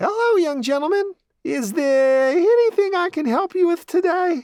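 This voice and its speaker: This is a put-on character voice, squeaky and whiny at an extremely high pitch. It moves at a moderate pace. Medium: read story. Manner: brisk salesy, overly sweet.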